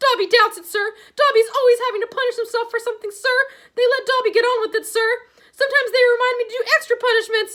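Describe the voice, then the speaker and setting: In a put-on character voice, a woman speaks at an extremely high pitch, squeaky and hoarse, at a very fast pace. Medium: read story. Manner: servile, calls himself by name, ends lines with sir.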